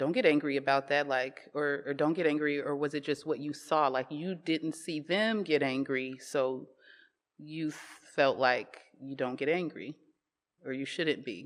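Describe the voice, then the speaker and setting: Fairly slow, fairly even speech from a woman with a very deep, low pitch. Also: quiet background. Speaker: creative entrepreneur. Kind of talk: casual conversation. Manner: loud.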